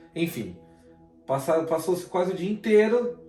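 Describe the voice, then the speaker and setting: A man is heard with audible room echo. Music plays in the background. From Brazil, São Paulo / Guarulhos. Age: 30s. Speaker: guest. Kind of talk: testimony.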